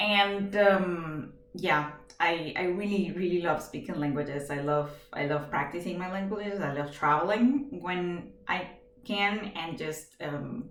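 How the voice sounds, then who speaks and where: In a Venezuelan accent, a woman speaks at a medium pitch. Audible room echo and noticeable background noise fill the recording. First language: Spanish. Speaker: job applicant. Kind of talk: video job application. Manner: hesitant, many fillers; energetic.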